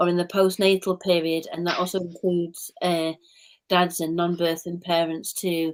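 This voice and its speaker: This woman's voice sits at a medium pitch. She moves through her words fairly slowly. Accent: Mancunian. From Manchester, England. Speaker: play therapist. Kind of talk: live stream chat.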